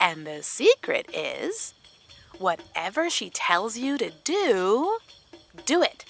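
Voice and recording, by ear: A woman uses a put-on character voice with a fairly bright tone, vocal fry and a fairly high pitch, swinging very widely at a slow pace. Faint music plays in the background.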